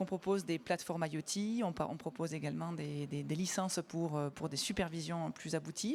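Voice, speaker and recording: A woman with a Toulouse accent talks at a fairly quick pace with hardly any pauses. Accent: southern French (Toulouse). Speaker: company sales director. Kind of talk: conference panel presentation. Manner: hesitant, many fillers.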